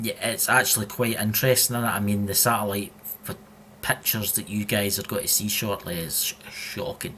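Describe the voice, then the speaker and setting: A man with a strong Scottish accent speaks at a fairly quick pace and fairly low pitch. Noticeable background noise can be heard. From Scotland. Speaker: podcast co-host. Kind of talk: casual chat. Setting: live stream. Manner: animated.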